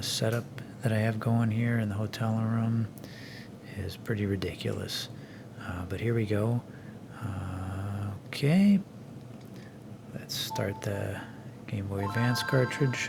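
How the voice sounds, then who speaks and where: Quiet and at a fairly slow pace, a man speaks at a fairly low pitch with fairly even intonation and long, frequent pauses, amid noticeable background noise and audible room echo. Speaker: retro gaming youtuber. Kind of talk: casual video review. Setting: hotel room. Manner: quiet, keeping voice down.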